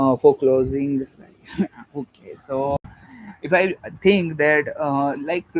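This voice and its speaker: A fairly high-pitched man with a Gujarati accent speaks at a very slow pace with long, frequent pauses. His intonation is fairly even, and the sound is dry and close with no echo. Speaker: online debater streaming live. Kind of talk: debate. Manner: halting, many fillers.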